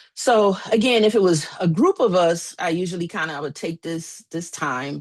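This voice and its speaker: Against a quiet background, a woman with an unremarkable speaking voice talks at a moderate pace, her fairly low pitch showing ordinary pitch variation. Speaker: therapist and coach. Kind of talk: presentation to a small group.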